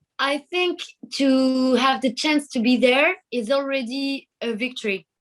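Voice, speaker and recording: With a French accent, a woman speaks using ordinary pitch variation. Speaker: singer. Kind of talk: interview. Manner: halting.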